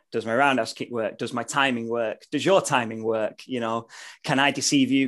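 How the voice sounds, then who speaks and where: With a British accent, a man speaks at a moderate pace over a quiet background. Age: 30s. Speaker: martial artist and vegan YouTuber. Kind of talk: casual chat.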